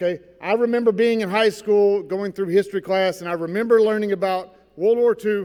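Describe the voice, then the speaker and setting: This man talks loudly at a fairly quick pace in a high pitch. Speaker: Navy veteran, keynote speaker. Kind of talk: speech to school assembly. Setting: school gymnasium with audience. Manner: animated.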